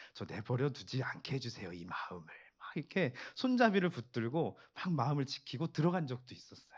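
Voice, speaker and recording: Against a quiet background, a man talks fairly quickly at a fairly high pitch. His pitch swings very widely, and vocal fry comes through. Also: big swings in loudness. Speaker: pastor. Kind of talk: sermon. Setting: church prayer meeting.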